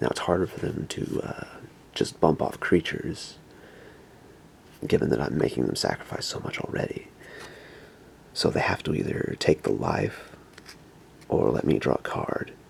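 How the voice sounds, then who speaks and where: Long, frequent pauses break up a man's very deep, low voice. He keeps a moderate pace with ordinary pitch variation, against noticeable background noise. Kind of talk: ASMR whisper video.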